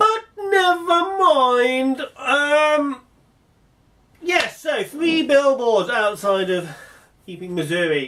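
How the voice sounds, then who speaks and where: A man with an English accent projects a raised voice at an extremely high pitch, bright and sharp in tone. His pitch swings very widely, with long, frequent pauses. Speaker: vlogger. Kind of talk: casual monologue. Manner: fast when excited; hesitant, many fillers.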